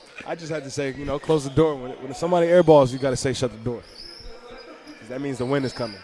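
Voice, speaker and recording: Noticeable background noise runs under a man talking at a very fast pace. He leaves long, frequent pauses, and his loudness swings widely. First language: Armenian. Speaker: basketball game commentator. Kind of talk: live commentary. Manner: animated.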